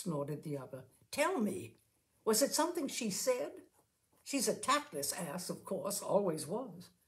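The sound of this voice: Here is an unforced reading voice. The background is quiet.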